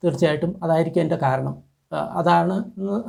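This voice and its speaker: On a very clean recording with a silent background, a man speaks at a fairly high pitch with a dark, mellow, somewhat breathy tone. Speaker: traditional medicine youtuber. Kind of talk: tutorial.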